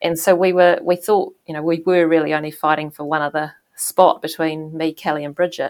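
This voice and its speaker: A woman with a New Zealand accent speaks at a fairly quick pace with hardly any pauses. Her fairly low voice stays monotone and flat. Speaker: former ocean racing sailor. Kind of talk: interview. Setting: video call.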